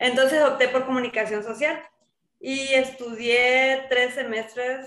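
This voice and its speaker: Her pitch is high, and the woman talks at a fairly slow pace. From Mexico, Sinaloa (Guamúchil area). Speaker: social psychologist, water culture official. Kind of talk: casual interview chat.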